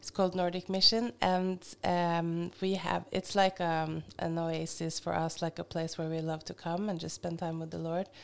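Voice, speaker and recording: A woman's fairly low, monotone, flat voice at a moderate pace with hardly any pauses, on a very clean recording with a silent background. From Norway (Hamar). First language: Norwegian. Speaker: missionary and Bible teacher. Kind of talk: casual interview.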